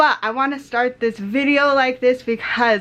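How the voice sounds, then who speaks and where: A woman speaks with a fairly high pitch and a bright, sharp tone. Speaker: lifestyle vlogger. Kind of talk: casual vlog talk to camera. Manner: animated.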